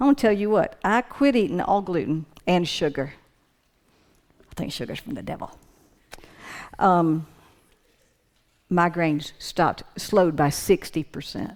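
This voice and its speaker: A woman's fairly low voice with lively intonation, a moderate pace and long, frequent pauses. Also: big swings in loudness. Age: 60s. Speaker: church speaker on anxiety and depression. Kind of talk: talk to a church group. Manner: halting, with frequent restarts; animated.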